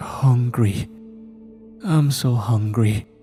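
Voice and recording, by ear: A hoarse, put-on character voice is heard over clear music in the background. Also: man, medium pitch for a man.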